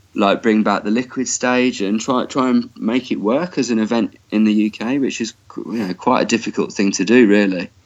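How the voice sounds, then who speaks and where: A man with a Birmingham accent talks at a fairly low pitch with ordinary pitch variation. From Birmingham, England. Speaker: festival organiser. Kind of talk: interview.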